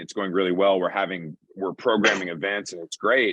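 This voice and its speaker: This man has an unremarkable speaking voice, fairly low in pitch, and talks at a fairly quick pace. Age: 40s. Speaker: brand consultant and podcast co-host. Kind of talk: panel discussion. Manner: fast, casual with many fillers.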